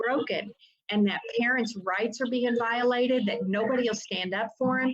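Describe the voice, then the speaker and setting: With a Southern US accent, a woman talks at a moderate pace in a fairly high voice with fairly even intonation. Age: 60s. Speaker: attorney and family rights activist. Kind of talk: interview.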